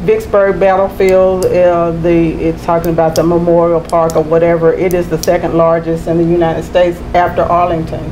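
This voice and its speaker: A woman with a Mississippi accent, fairly low in pitch, at a fairly quick pace with hardly any pauses and very even loudness, over light background noise. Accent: US Southern (Mississippi). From Mississippi, Tupelo. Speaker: poet and author; poet. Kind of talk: interview. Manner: animated. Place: studio. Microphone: lapel.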